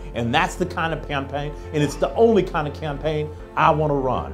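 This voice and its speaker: Clear music in the background behind a man at a moderate pace. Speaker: candidate. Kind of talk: campaign speech. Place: bar. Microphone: handheld.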